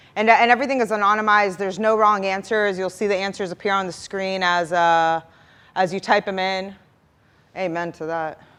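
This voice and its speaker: The background is quiet as a woman talks, her intonation fairly even. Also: medium pitch for a woman, fairly quick pace. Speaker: product marketing manager, conference speaker. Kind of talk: conference workshop talk. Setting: stage with audience. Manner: fast.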